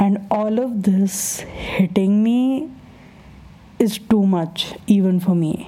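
Noticeable background noise runs through the clip. Over it, a woman speaks at a medium pitch. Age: 20s. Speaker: podcast host. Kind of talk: casual monologue. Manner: animated.

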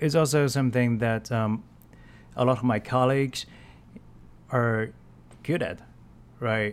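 A man's medium-pitched voice with a Chinese accent, fairly slow, with long, frequent pauses. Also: ordinary pitch variation. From China. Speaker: marketer. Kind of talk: solo podcast monologue. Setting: voice memo recording. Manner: halting, many fillers.

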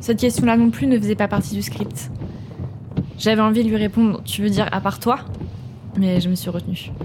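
Amid noticeable background noise, a woman with a medium pitch talks at a fairly quick pace, using very wide pitch swings and long, frequent pauses. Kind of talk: ghost story telling, first-person horror narration.

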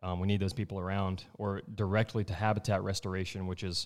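Recorded very cleanly against a silent background, a man talks in a Texan accent with fairly even intonation. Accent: Southeast Texas (US South). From Southeast Texas. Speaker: wildlife biologist. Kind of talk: casual chat.

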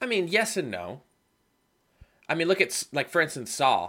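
On a very clean recording with a silent background, a man's fairly high, bright and sharp voice carries vocal fry. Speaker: podcast co-host. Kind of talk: casual chat.

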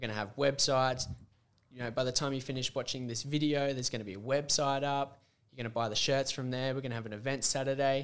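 A man with an Australian accent speaks at a very fast pace, his medium-pitched voice flat and monotone. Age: 20s. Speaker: podcast host. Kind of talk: casual chat.

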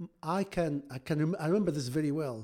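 On a very clean recording with a silent background, a man with an Arabic accent speaks in a fairly high voice that is dark and mellow in tone. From Egypt. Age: 50s. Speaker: surgeon and amateur marathon runner. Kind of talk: casual interview. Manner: hesitant, with frequent repetitions.

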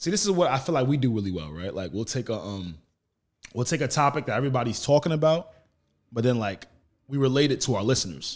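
In a New York accent, a man of medium pitch races along at a very fast pace with very wide pitch swings, recorded very cleanly against a silent background. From Long Island, New York. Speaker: podcaster. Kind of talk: casual chat. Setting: studio.

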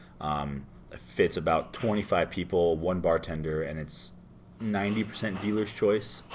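Here a man speaks with an American accent. His very deep, low pitch shows ordinary variation. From Florida, US. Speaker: bartender. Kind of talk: casual interview. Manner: casual, filler-heavy.

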